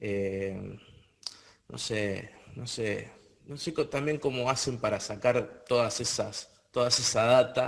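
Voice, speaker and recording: Very slowly and with long, frequent pauses, a man with an Argentine accent speaks with ordinary pitch variation and big swings in loudness. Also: medium pitch for a man. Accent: Argentine Spanish (voseo). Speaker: panel guest on paranormal talk show. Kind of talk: casual panel discussion. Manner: halting, many fillers and repetitions.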